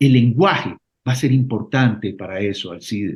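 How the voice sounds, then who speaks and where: A man speaks in a somewhat breathy voice. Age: 60s. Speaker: political candidate. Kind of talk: radio interview.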